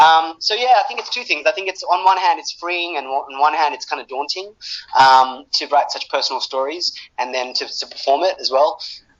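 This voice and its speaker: A man with a high pitch uses lively intonation at a fairly quick pace. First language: Bengali. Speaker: screenwriter and actor. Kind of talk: interview. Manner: halting.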